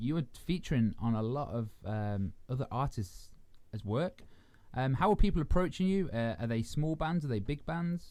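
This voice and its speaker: The speaker's pitch swings very widely, in an English accent. The recording is very clean, with a silent background. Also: man. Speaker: radio host. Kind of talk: interview.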